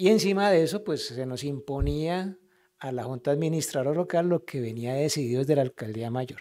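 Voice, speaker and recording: The intonation here is lively. It is an ordinary speaking voice. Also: man, fairly high pitch for a man. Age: 60s. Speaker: local councillor. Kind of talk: council meeting speech.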